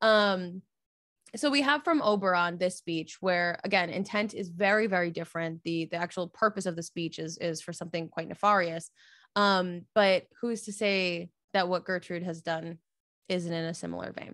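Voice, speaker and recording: A woman with a normal speaking voice, fairly low pitch, ordinary pitch variation and moderate pace, on a very clean recording with a silent background. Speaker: theatre podcast host. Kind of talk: casual chat; verse monologue performed. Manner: rambling, self-deprecating.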